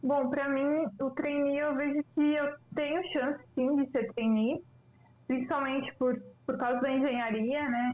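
Here a woman talks with a high pitch and fairly even intonation. Her pace is moderate. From Lages, Santa Catarina, southern Brazil. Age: 20s. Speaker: data analyst and job candidate. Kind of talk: casual interview. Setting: remote call.

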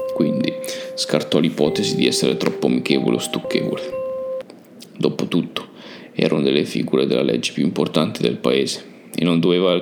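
With very even loudness and long, frequent pauses, a man speaks over noticeable background noise. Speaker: podcast host and narrator.

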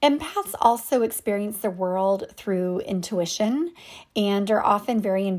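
This is a normal speaking voice. The pace is fairly slow. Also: woman. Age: 30s. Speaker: wellness podcast host and coach. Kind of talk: solo podcast monologue.

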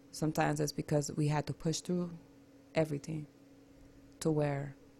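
The voice is somewhat breathy and dark, mellow in tone, with fairly even intonation. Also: woman. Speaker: radio guest. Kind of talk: casual chat.

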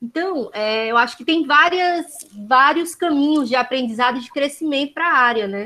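A bright, sharp tone in a Ceará accent, at a moderate pace with ordinary pitch variation. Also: woman. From Brazil, Ceará. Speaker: occupational therapist. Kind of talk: casual remarks.

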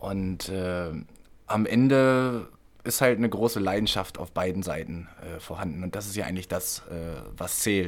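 At a fairly slow pace, a man talks in a very deep, low voice with ordinary pitch variation. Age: 30s. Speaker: handball and football player. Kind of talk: casual chat.

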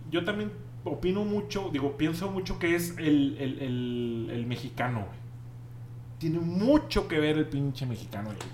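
The voice moves at a fairly slow pace with lively intonation over noticeable background noise. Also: man, fairly high pitch for a man. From Monterrey, northern Mexico. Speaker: podcast host. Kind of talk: casual chat. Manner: casual, slangy, filler-heavy.

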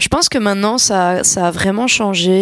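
This woman has a normal speaking voice with medium pitch and fairly even intonation. Her pace is moderate. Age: 20s. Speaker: singer. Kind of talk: interview.

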